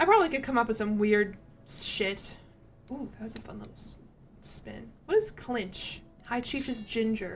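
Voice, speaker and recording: A fairly high-pitched woman in an American accent at a moderate pace with ordinary pitch variation, over music in the background. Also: big swings in loudness. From US South, Tennessee. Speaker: video game streamer. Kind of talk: casual live-stream commentary. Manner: casual, rambling with self-corrections.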